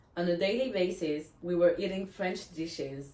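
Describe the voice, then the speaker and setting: Speech comes at a moderate pace. Audible room echo and noticeable background noise are present. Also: woman. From France. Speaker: blogger. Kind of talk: reading aloud.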